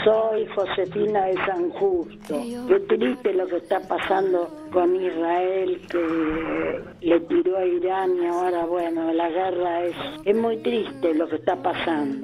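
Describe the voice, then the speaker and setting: A woman speaks at a very slow pace with a fairly low pitch and ordinary pitch variation. Noticeable background noise is present. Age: 70s. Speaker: listener caller. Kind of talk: voice message.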